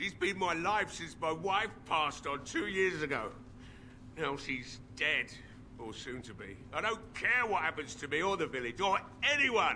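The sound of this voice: A man puts on a character voice at a fairly high pitch, with lively intonation, a bright, sharp tone and a fairly slow pace.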